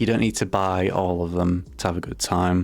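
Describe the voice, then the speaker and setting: Mumbling at a moderate pace, a man speaks with a very deep, low pitch. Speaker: gaming YouTuber. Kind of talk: casual vlog talk to camera. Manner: monotone; mumbling, halting.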